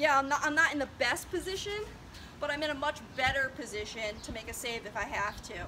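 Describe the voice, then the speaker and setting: A woman's raised, projected voice at a high pitch and a fairly quick pace, with noticeable background noise. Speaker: lacrosse goalie coach. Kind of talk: tutorial. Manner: fast.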